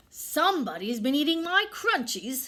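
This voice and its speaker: A woman puts on a growling character voice, high in pitch, with very wide pitch swings. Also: moderate pace. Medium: read story.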